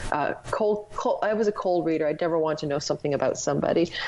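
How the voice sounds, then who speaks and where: With a Canadian accent and a very deep, low pitch, a woman talks very fast against noticeable background noise. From Canada, Ontario. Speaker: astrologer and former psychic medium. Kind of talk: casual interview storytelling.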